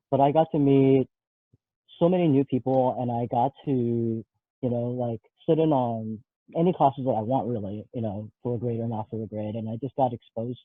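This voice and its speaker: Ordinary pitch variation in a man's voice of medium pitch, moving at a fairly quick pace. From California, US West Coast. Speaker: talent recruiter. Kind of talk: career interview.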